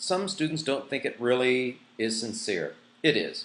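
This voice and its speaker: A man speaks in a fairly high voice with lively intonation. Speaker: online school teacher. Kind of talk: course orientation tutorial. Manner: fast.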